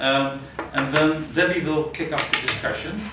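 Loud background noise and audible room echo fill the clip. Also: man. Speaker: presenter. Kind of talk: workshop introduction. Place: classroom. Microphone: camera far.

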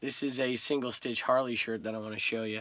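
A man with an American accent and a bright, sharp tone speaks at a fairly quick pace in a dry sound with no echo. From California. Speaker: eBay reseller and YouTuber. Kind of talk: casual vlog chat. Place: home room.

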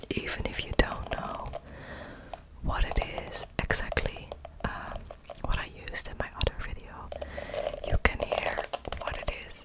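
A woman's whispering at a moderate pace, with long, frequent pauses. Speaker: ASMR creator. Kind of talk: soft ASMR whisper chat. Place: home room. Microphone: studio mic.

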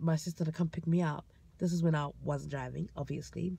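A woman with a fairly low, somewhat breathy voice is heard in a dry sound with no echo. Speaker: vlogger. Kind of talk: casual vlog storytelling. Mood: amused, animated storytelling. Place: car. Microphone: phone near.

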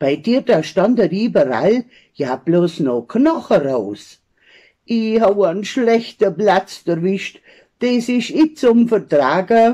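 A woman with an Allgäu accent speaks very slowly in a dark, mellow tone with vocal fry. Her pitch swings very widely against a quiet background. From Allgäu, Bavaria. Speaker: dialect poet. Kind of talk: poetry reading. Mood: humorous, lively storytelling. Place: home room. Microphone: phone near.

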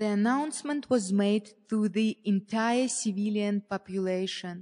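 Speaking with a non-native accent, the voice moves at a fairly slow pace with ordinary pitch variation. The sound is dry and close, with no echo. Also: woman. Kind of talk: memoir passage reading.

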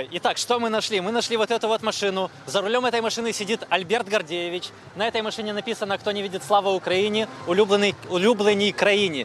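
Very fast speech from a man with a high pitch. The sound is dry with no echo, over light background noise. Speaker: TV reporter. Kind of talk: live field report. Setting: in a car. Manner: animated.

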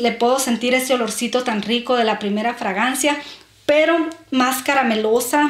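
A woman with a strong northern Mexican accent speaks fairly slowly in a high, warm voice with ordinary pitch variation. Audible room echo surrounds her. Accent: northern Mexican, strongly marked ch sound. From Mexico, Sonora. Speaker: beauty and perfume vlogger. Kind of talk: casual vlog talking to camera. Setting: at home, filming herself. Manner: warm, chatty. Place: home room. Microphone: camera far.

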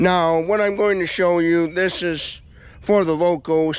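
At a fairly slow pace, a man speaks in a dry sound with no echo. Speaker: local vlogger. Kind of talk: casual vlog chat. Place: open country. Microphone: phone near.

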